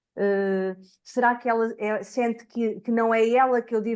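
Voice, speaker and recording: A woman with a European Portuguese accent, quiet background. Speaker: education researcher. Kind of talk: academic seminar talk.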